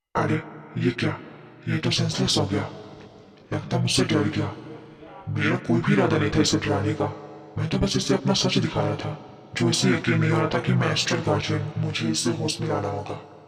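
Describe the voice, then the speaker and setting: A woman puts on a character voice and talks at a fairly quick pace. There is clear background noise and a slight echo. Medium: read story. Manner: soft, earnest, polite.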